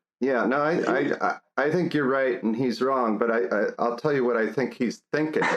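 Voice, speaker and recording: A man's medium-pitched voice with ordinary pitch variation, very even loudness and a moderate pace. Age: 60s. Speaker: music education professor. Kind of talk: casual chat. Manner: halting.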